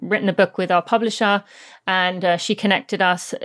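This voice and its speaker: With a British accent, a woman speaks at a medium pitch and fairly even intonation on a very clean recording with a silent background. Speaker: former professional runner and podcast host. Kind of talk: casual interview. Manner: rambling, talkative.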